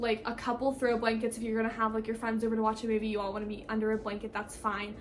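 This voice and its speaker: Pitched fairly high, a woman speaks in a monotone, flat intonation over noticeable background noise. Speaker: college student vlogger. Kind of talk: casual vlog tutorial. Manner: fast; filler words, casual.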